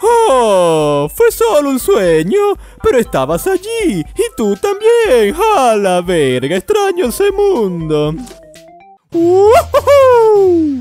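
A put-on character voice moves at a very slow pace over faint music in the background. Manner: upbeat, exaggerated.

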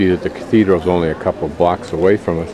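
A man talks fast at a low pitch, his dark, mellow tone holding fairly even intonation over faint background noise.

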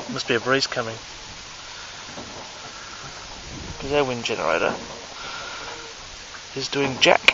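A man at a moderate pace, with a dry sound, no echo and noticeable background noise. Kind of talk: casual vlog chat. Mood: amazed, relaxed. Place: boat. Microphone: phone near.

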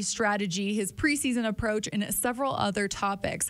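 In a quiet background, a woman with a normal speaking voice talks at a fairly quick pace and a fairly high pitch, with ordinary pitch variation. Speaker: team podcast host. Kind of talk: casual chat. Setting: studio. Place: studio. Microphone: studio mic.

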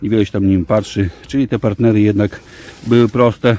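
A man with a fairly low pitch speaks at a fairly quick pace in a plain, everyday voice. The sound is dry, with no echo. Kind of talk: casual vlog chat. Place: garden. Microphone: phone near.

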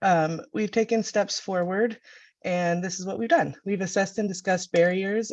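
At a moderate pace, a woman speaks in a plain, everyday voice with ordinary pitch variation against a quiet background. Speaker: network meeting facilitator. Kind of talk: online meeting presentation.

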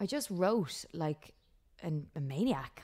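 Against a quiet background, a woman with an Irish accent speaks at a fairly low pitch with lively intonation. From Ireland. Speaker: country singer-songwriter. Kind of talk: casual interview chat. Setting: video call. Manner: laughs often, chatty.

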